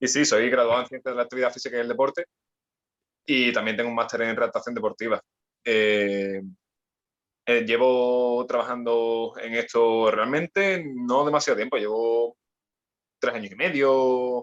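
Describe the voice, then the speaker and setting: A man speaks with long, frequent pauses. The sound is dry and close, with no echo. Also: medium pitch for a man, fairly even intonation, moderate pace. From Andalusia, Spain (Cádiz). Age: 20s. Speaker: personal trainer and sports rehab specialist. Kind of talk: podcast interview. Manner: halting, many repetitions.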